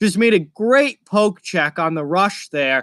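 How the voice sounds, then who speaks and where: A man's high-pitched voice in a very clean recording with a silent background. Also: dry, close sound with no echo. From Massachusetts, outside Boston. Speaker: hockey streamer. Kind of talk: live reaction and chat. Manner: casual, conversational.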